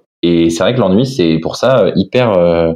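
Delivery is fairly slow, with ordinary pitch variation. The tone is dark and mellow. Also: man. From France (Lille, then Nantes). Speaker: guest. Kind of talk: casual chat. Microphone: cheap earphones mic, sounds good.

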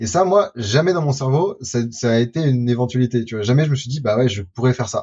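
A man talks very fast at a medium pitch, barely pausing. His voice is somewhat breathy, with lively intonation. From France, Lyon. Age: 20s. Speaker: future-of-work explorer and documentary maker. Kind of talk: interview. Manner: animated.

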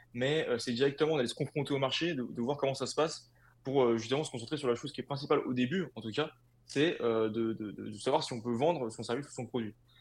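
A man's medium-pitched voice at a fairly quick pace, with ordinary pitch variation, against a quiet background. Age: 20s. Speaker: clothing brand co-founder. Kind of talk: interview. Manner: halting, many fillers and repetitions.

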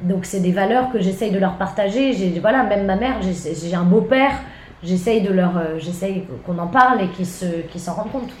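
Heard through noticeable background noise and audible room echo, a woman speaks at a medium pitch with ordinary pitch variation. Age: 20s. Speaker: comedian. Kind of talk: casual chat.

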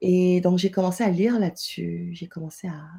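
In a very clean recording with a silent background, a woman speaks at a moderate pace in a fairly low pitch, her tone dark and mellow, with vocal fry. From Senegal. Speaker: entrepreneur. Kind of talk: interview conversation.

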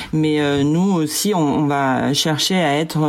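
Against noticeable background noise, a woman speaks in a very deep, low voice. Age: 50s. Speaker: head of consumer research at a company. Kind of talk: interview. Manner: halting, many fillers.

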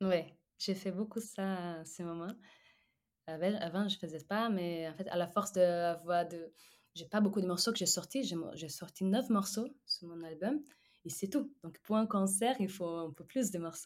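In a Portuguese accent, the speaker goes at a fairly slow pace with ordinary pitch variation and big swings in loudness, in a very clean recording with a silent background. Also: woman, medium pitch for a woman. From Brazil. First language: Portuguese (speaking French). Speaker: singer-songwriter. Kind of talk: interview. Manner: halting.

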